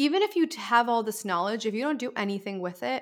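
A woman speaks with a normal speaking voice at a fairly high pitch. Her pace is fairly quick, and her pitch variation is ordinary. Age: 20s. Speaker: author and content creator. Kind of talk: casual chat.

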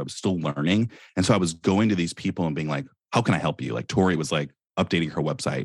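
Speaking at a fairly quick pace with an American accent, a man uses lively intonation and a very deep, low pitch in a very clean recording with a silent background. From US West Coast, Silicon Valley. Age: 20s. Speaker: entrepreneur. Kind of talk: casual interview.

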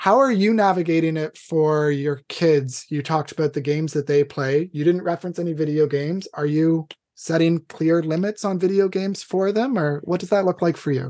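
Fairly high-pitched, a man talks at a fairly quick pace in an unremarkable speaking voice with ordinary pitch variation. The sound is dry and close, with no echo. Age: 30s. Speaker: podcast host. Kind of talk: casual interview.

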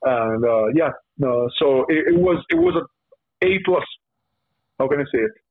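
A man with an Italian accent speaks at a fairly slow pace in a fairly high voice, with long, frequent pauses. His intonation is lively while his loudness stays very even. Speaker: professional wrestler. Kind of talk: podcast interview. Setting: video call. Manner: halting.

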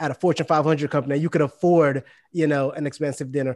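Talking at a very fast pace against a quiet background, a man with a New York accent keeps his fairly high voice in fairly even intonation. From Brooklyn, New York, West Indian family. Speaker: podcast co-host. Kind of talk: casual chat.

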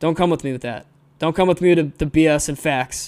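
On a very clean recording with a silent background, a man with an American accent speaks very fast at a fairly high pitch. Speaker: podcast host and aviation maintenance student. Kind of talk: angry rant; argumentative discussion. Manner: fired up, scolding; emphatic, exasperated.

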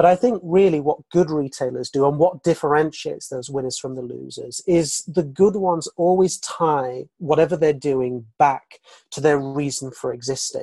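Speaking at a moderate pace, a man with a fairly high pitch and a dark, mellow tone shows ordinary pitch variation. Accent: British. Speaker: retail analyst. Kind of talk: casual interview chat.

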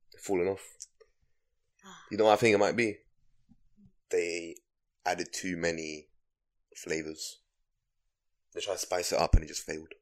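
A man with a London accent speaks in a very deep, low pitch with fairly even intonation, big swings in loudness, and long, frequent pauses. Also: moderate pace. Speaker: podcast co-host. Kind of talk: casual chat.

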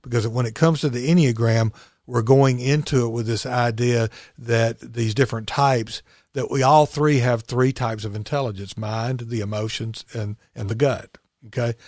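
A man with an Alabama accent, medium-pitched, at a moderate pace with fairly even intonation, on a very clean recording with a silent background. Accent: US Southern (Alabama). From Alabama (Chelsea, near Birmingham). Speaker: recovery coach. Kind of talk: interview about recovery and spirituality.

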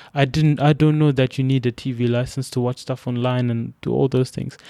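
Recorded very cleanly against a silent background, a man with a Zimbabwean accent sounds dry and close with no echo. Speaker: immigrant former student. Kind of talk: storytelling interview. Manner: hesitant, many fillers and repetitions.

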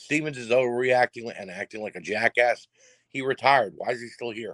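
In a very clean recording with a silent background, a man at a medium pitch speaks in a bright, sharp tone, the sound dry and close with no echo. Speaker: wrestling podcast host. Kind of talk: show recap. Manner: fast.

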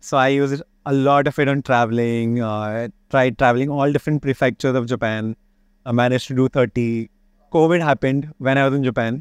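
In a very clean recording with a silent background and a dry, close sound with no echo, a man with an Indian accent talks at a very fast pace, his medium pitch held in fairly even intonation. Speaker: chef and restaurateur. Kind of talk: casual interview.

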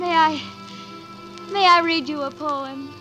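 A woman puts on a character voice, high in pitch with a bright, sharp tone, speaking slowly with fairly even intonation. Faint music plays in the background.

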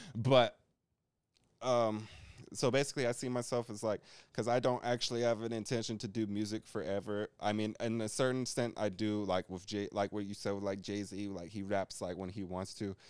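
The man has a normal speaking voice with fairly low pitch. He talks at a fairly quick pace with fairly even intonation. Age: 20s. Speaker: rapper. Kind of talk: casual chat.

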